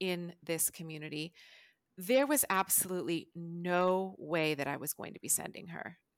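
A woman speaks at a medium pitch with an American accent. The recording is very clean with a silent background, and the sound is dry and close with no echo. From California. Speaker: psychotherapist and social worker. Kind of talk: interview.

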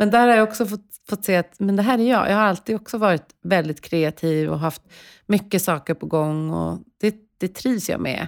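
She is a woman with an unremarkable speaking voice. Her pitch is medium, her pace moderate, and her pitch variation ordinary. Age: 40s. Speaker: podcast host and coach. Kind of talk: interview. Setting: studio.

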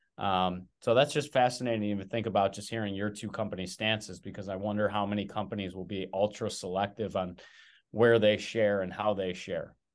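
In a normal speaking voice, someone talks at a fairly quick pace against a quiet background. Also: man, fairly low pitch for a man, fairly even intonation. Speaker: podcast host. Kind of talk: casual interview.

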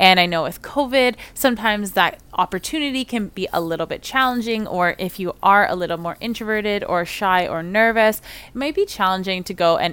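Her tone is bright and sharp, with lively intonation at a moderate pace. This woman is recorded very cleanly against a silent background. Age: 30s. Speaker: occupational therapist, podcast host. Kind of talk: solo podcast introduction.

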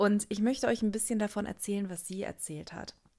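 A woman's fairly even intonation comes through in a very clean recording with a silent background. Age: 20s. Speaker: podcast host and coach. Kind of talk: solo podcast monologue. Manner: hesitant with many fillers.

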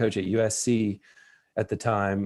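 A man with a Tennessee accent talks at a medium pitch. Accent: Southern US (Tennessee). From US South, West Tennessee. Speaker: college tennis coach. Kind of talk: interview conversation.

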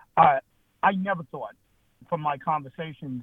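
Speaking at a fairly quick pace with an American accent, a man uses a fairly high voice and fairly even intonation. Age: 50s. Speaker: political party chair. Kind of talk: interview. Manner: halting, with repetitions.

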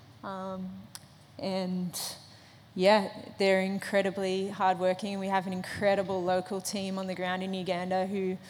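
With an Australian accent, a woman speaks at a medium pitch in a flat, monotone intonation. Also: moderate pace. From Australia, Sydney. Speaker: Olympic runner. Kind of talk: testimony. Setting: church stage with audience.

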